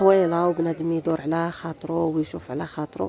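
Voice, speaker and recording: A woman with an eastern Moroccan accent speaks at a fairly low pitch and a moderate pace. Noticeable background noise is present. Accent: eastern Moroccan Darija. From eastern Morocco, Berkane. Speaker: vlogger. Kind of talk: travel vlog narration. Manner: casual, chatty.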